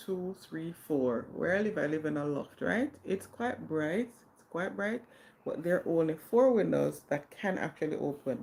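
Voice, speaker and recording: Vocal fry from a woman, with very wide pitch swings, big swings in loudness and a moderate pace. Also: fairly low pitch for a woman. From Jamaica. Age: 40s. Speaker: livestreamer. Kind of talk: casual chat. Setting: live stream.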